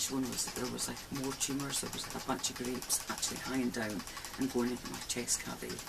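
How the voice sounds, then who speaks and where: Amid noticeable background noise and audible room echo, a woman with a very deep, low pitch speaks fairly quickly in a monotone, flat way. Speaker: pet vlogger. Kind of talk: casual vlog talk. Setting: at home with pet rats, night. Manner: casual, chatty with pets.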